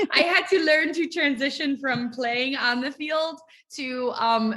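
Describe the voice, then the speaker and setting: With an American accent, a woman raises and projects her high-pitched voice, bright and sharp in tone, speaking at a fairly slow pace with ordinary pitch variation. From Ohio, US Midwest. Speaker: ministry leader and author. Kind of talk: interview.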